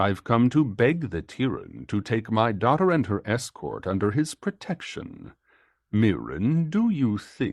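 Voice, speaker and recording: Against a quiet background, a man puts on a growling, rumbling character voice at a medium pitch and a fairly slow pace. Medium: read story.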